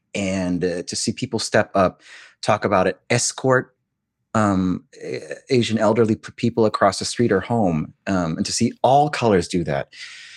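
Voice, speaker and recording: A man with an American accent speaks in a normal speaking voice, fairly low in pitch, with ordinary pitch variation. His pace is moderate, and the sound is dry and close with no echo. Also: very clean recording, silent background. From US, Korean American. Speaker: Broadway actor and audiobook narrator. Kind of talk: casual interview chat.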